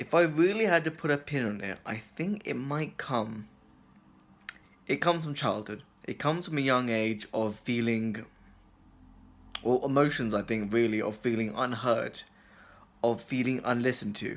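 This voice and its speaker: A man's medium-pitched voice with lively intonation, broken by long, frequent pauses. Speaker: video blogger. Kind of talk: personal reflection monologue. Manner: fast.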